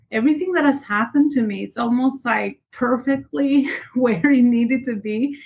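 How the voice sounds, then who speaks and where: Speaking at a moderate pace with ordinary pitch variation, a woman has an unremarkable speaking voice. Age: 30s. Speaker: entrepreneur and business coach. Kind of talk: casual interview.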